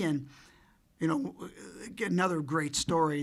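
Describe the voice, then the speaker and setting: Audible room echo surrounds a man speaking at a moderate pace, his fairly high voice held to fairly even intonation. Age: 70s. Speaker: retiring college hockey coach and administrator. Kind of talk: press conference. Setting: press conference with media. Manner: conversational, many fillers.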